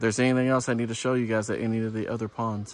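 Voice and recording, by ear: A man talks at a fast pace and medium pitch. His pitch shows little movement.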